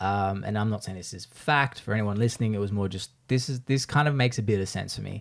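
Over a very clean recording with a silent background, a man speaks with an Australian accent. His pitch is fairly low, with ordinary pitch variation. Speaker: podcast host and video creator. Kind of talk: casual chat. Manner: fast talker.

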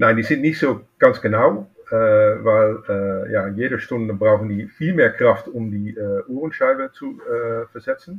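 A man speaks with a Dutch accent at a fairly slow pace. He hardly pauses at all. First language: Dutch (speaking German). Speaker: watchmaker and collector. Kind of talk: interview. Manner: halting.

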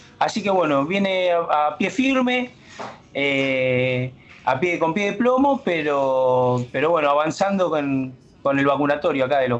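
Fairly slow speech with lively intonation keeps a very even loudness over noticeable background noise. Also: man. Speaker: bank union delegate. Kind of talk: casual radio chat. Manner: halting.

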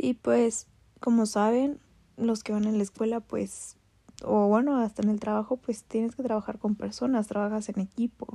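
The pace is medium. The voice has a dark, mellow tone and fairly even intonation. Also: woman, fairly high pitch for a woman. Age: 20s. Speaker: podcaster. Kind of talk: personal monologue. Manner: casual, hesitant.

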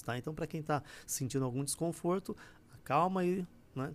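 A man's unremarkable speaking voice at a moderate pace with ordinary pitch variation. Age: 40s. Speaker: spiritual teacher. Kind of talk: livestream talk.

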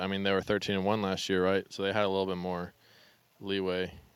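With an American accent, a man speaks in a plain, everyday voice, fairly low in pitch and at a fairly quick pace. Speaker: ultimate frisbee player. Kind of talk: casual chat.

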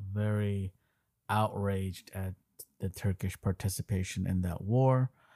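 A man speaks with a dark, mellow tone at a fairly low pitch. The sound is dry and close, with no echo. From Armenian diaspora. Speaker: podcast host. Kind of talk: casual chat.

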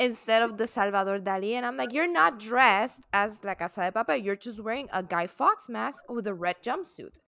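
A woman's bright, sharp voice in a Puerto Rican accent, fairly high in pitch, fairly quick, with lively intonation. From Puerto Rico. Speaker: podcast co-host. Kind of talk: casual chat.

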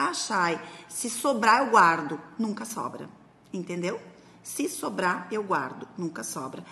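Noticeable background noise accompanies a woman speaking at a medium pitch with lively intonation. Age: 40s. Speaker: productivity and finance coach. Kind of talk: instructional talk. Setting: recorded video for social media. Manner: casual, conversational.

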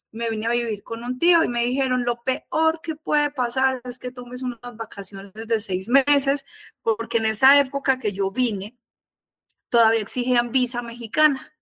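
A woman with a strong Colombian paisa accent speaks at a moderate pace in a high, bright, sharp voice with ordinary pitch variation. The sound is dry and close with no echo. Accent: Colombian (paisa), still strong. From Colombia, Salento (Quindío). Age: 40s. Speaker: architect. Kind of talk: casual chat.

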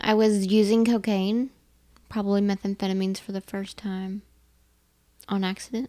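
In a very clean recording with a silent background, a woman with a dark, mellow tone and medium pitch talks at a moderate pace in a monotone, flat way, leaving long, frequent pauses. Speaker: co-host in recovery. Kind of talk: casual podcast conversation. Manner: loud.

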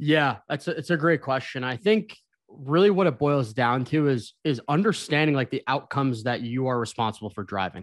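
Over a very clean recording with a silent background, a man with a plain, everyday voice speaks at medium pitch and a moderate pace, with lively intonation and hardly any pauses. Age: 20s. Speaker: sales account executive. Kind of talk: casual chat.

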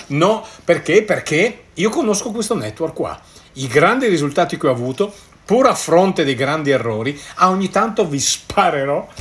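High-pitched man at a moderate pace with very wide pitch swings. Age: 60s. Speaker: network marketer and podcaster. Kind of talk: solo podcast monologue. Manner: hesitant, stumbling over words.

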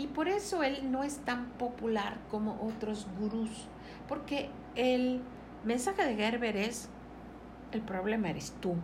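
A woman with a high pitch talks at a very slow pace, using lively intonation and long, frequent pauses. Noticeable background noise and audible room echo fill the recording. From Mexico, Mérida, Yucatán. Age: 60s. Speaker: entrepreneur and business coach. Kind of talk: interview.

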